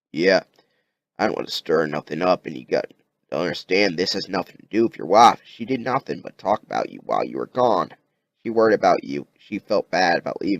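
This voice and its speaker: Putting on a raspy character voice at a fairly low pitch, a man talks at a fairly quick pace, the sound dry and close with no echo. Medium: read story. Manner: blunt, folksy.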